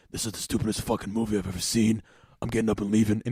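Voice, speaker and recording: A man speaks very fast in a put-on character voice, raspy and fairly low-pitched, with a monotone, flat delivery. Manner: grumbling, irritated.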